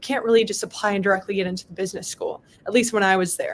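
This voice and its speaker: The speaker has a Midwestern US accent. The intonation stays fairly even. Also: woman. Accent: General American, Midwestern. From US Midwest (Palatine, Illinois). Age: 20s. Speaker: state legislator. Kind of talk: motivational talk and Q&A.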